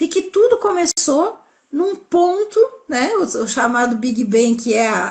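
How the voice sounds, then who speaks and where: Her pace is fairly slow. A woman's pitch swings very widely. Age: 60s. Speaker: holistic health specialist. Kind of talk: live-stream interview, explanatory talk. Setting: online live stream.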